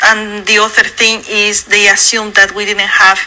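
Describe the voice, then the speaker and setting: Through noticeable background noise, a woman speaks in a monotone, flat way with a strong Mexican accent. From Mexico. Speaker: dentist. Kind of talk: interview.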